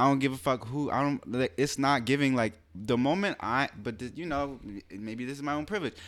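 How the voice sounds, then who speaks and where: On a very clean recording with a silent background, a man with an American accent speaks at a fairly quick pace in an unremarkable speaking voice, medium in pitch with ordinary pitch variation. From US. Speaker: podcast co-host. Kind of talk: casual chat.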